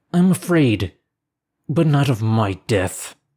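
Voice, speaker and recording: The speaker uses a put-on character voice that growls. The pace is fairly slow. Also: man, medium pitch for a man. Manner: menacing, fearful.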